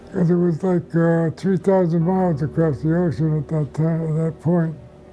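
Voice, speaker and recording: A man's fairly high voice at a moderate pace, fairly even in intonation and very even in loudness, over background music. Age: 90s. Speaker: war veteran. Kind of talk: testimony. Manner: halting.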